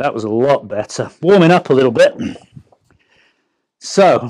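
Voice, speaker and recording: Fairly high in pitch, a man's voice has a dark, mellow tone and moves at a moderate pace. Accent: English. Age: 50s. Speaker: golf coach. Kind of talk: product review.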